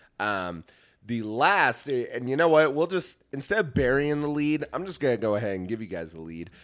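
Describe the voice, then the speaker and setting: In a very clean recording with a silent background, the American-accented speaker moves at a moderate pace, with big swings in loudness and very wide pitch swings. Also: man, medium pitch for a man. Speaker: podcast host. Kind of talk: casual chat.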